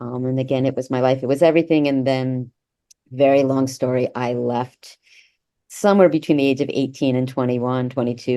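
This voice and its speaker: A woman talks at a fairly quick pace. Her tone is dark and mellow, with a very deep, low pitch. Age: 60s. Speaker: author and former cult member. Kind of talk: interview.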